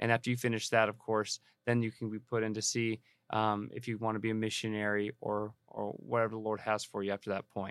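A man with a Californian accent, fairly low-pitched and flat in monotone at a fairly quick pace, with a dry, close sound with no echo on a very clean recording with a silent background. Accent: Californian American English. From Southern California (Banning, Riverside County). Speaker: missionary. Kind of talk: interview conversation.

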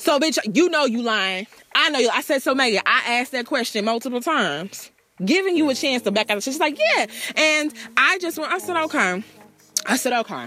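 A woman's raised, projected voice, high-pitched and animated, with lively intonation and a fairly quick pace. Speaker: radio host. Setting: radio show. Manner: animated, sassy, punchy, repeating the "bitch" tag for comic effect.

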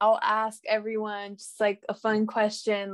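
A woman with an American accent speaks at a fairly slow pace and fairly high pitch. The recording is dry and close, with no echo. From Salinas, California. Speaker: university student. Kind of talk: panel discussion. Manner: many fillers.

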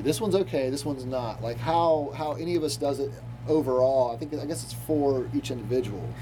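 With audible room echo and noticeable background noise, a man speaks at medium pitch and a fairly quick pace, with ordinary pitch variation. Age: 30s. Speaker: musician and audio documentarian. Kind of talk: casual conversation. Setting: in person, in a dark underground room. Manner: halting, many repeated words.

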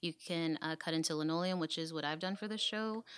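A woman with an American accent and an unremarkable speaking voice talks at a moderate pace, her fairly low pitch showing ordinary variation, on a very clean recording with a silent background. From US South, Dallas, Texas (Oak Cliff). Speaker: artist, printmaker, graduate student. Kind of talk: casual interview.

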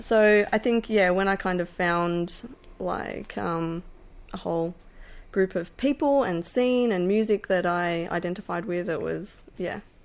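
Speaking fairly slowly in an Australian accent, a woman keeps a medium pitch with ordinary variation. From Melbourne, Australia. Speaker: musician and animal rights volunteer. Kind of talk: casual interview. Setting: at the host's house.

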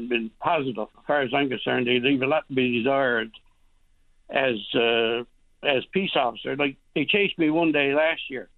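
With a rural Newfoundland accent, a man speaks at a fairly high pitch. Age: 70s. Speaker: hunter. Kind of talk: radio call-in.

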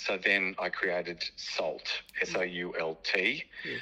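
A man is speaking. He has an Australian accent. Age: 50s. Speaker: entrepreneur. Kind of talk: interview. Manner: halting.

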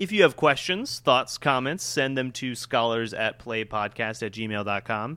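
On a very clean recording with a silent background, a man speaks at medium pitch with a bright, sharp tone and hardly any pauses. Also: ordinary pitch variation. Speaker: podcast host, academic. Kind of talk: show outro; casual academic discussion.

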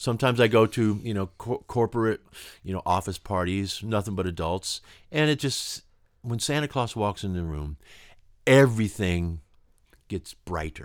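A plain, everyday voice from a man, fairly low in pitch, with lively intonation at a moderate pace, over a silent background in a very clean recording. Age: 60s. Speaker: musician and songwriter. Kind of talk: interview conversation. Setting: recording studio.

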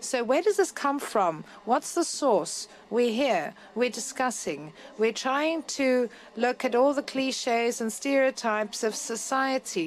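Using an ordinary speaking voice, a woman shows ordinary pitch variation. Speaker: panel moderator. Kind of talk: moderated public discussion. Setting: stage with live audience.

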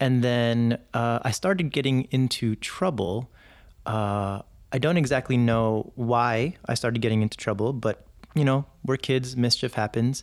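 On a very clean recording with a silent background, a man speaks at medium pitch with ordinary pitch variation and very even loudness. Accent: American. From New York City. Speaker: military veteran. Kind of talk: interview storytelling.

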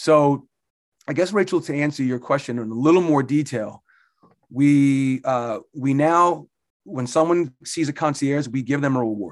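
A man with an American accent talks at a moderate pace in a fairly high pitch, using an unremarkable speaking voice. The recording is very clean, with a silent background. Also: ordinary pitch variation. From New Jersey, Jersey Shore. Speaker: fitness club executive director. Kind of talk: interview.

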